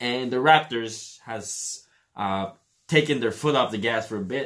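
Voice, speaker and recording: A man with a Filipino accent speaks at a very slow pace. His pitch varies in an ordinary way. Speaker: sports reaction youtuber. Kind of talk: casual commentary. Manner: hesitant, many fillers.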